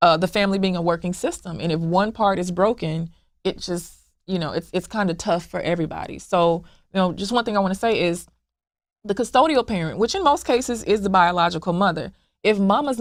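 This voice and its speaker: On a very clean recording with a silent background, a woman speaks at a fairly quick pace with medium pitch and ordinary pitch variation. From US South, Memphis Tennessee. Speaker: founder of a blended-family support group. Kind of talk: interview. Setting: podcast interview. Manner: halting, with repetitions.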